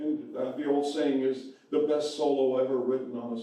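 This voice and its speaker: A man speaks, with audible echo from the room. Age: 80s+. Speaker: jazz saxophonist. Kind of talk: casual interview. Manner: halting.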